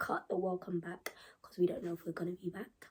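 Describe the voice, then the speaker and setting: Somewhat breathy female voice with a dark, mellow tone. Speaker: YouTuber. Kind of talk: casual chat. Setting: home. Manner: laid back, unscripted.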